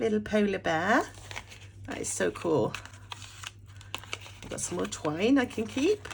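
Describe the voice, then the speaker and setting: A woman with a British accent, fairly slow, with long, frequent pauses and noticeable background noise. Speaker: journaling YouTuber. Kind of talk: casual unboxing vlog. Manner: animated.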